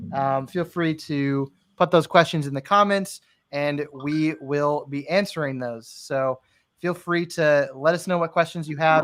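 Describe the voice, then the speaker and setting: In an unremarkable speaking voice with an American accent, a man talks at a fairly high pitch and a fairly slow pace, with fairly even intonation. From US, Florida. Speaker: live stream host. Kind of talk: casual chat.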